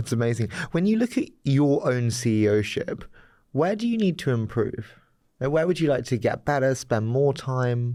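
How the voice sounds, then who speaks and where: A man's medium-pitched voice with a London accent, dark and mellow in tone, lively in intonation, very even in loudness, at a moderate pace. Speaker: podcast host. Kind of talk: interview.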